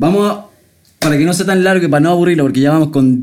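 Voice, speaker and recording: A man's high voice with a Chilean accent, animated in tone, with ordinary pitch variation and audible room echo. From Chile, town near Santiago. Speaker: podcast host. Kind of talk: casual chat.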